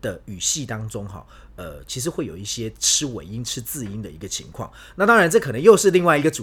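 A man speaks at a very fast pace with very wide pitch swings. His loudness swings widely too. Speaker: Spain travel and food expert. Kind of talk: casual chat.

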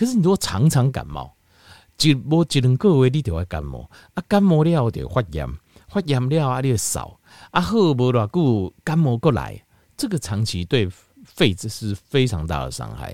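Very wide pitch swings run through this moderate-paced voice, captured as a dry, close sound with no echo on a very clean recording with a silent background. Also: man. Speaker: health podcast host. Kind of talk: solo health talk. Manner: casual, many filler particles.

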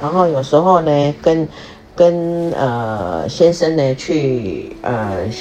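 Noticeable background noise and audible room echo fill this clip of a woman with a very deep, low voice. She talks at a very slow pace, her intonation lively. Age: 50s. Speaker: podcast host, retiree. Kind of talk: casual monologue. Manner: halting, many fillers.

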